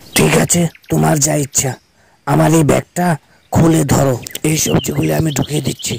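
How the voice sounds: A man speaks in a raspy, cartoonish character voice. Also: medium pitch for a man, moderate pace.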